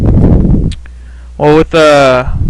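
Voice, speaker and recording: There is noticeable background noise as this man talks. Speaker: League of Legends gameplay commentator. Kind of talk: gameplay commentary. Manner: casual, conversational with filler words.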